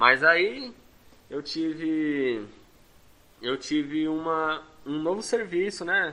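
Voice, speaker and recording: Lively in intonation, a man speaks with a fairly high pitch and a bright, sharp tone. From Brazil, Santo André, São Paulo. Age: 20s. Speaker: adult education student, construction worker. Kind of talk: interview. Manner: halting.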